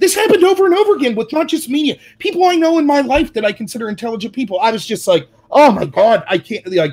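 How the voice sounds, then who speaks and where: The voice is animated and very fast. Its pitch moves in very wide swings. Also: man, extremely high pitch for a man. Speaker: political commentary youtuber. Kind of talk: casual chat. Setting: livestream.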